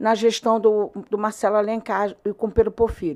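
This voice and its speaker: A woman speaks at a fairly high pitch and a moderate pace. The recording is very clean, with a silent background. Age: 60s. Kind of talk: interview answer. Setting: studio. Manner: halting, frequent repetitions.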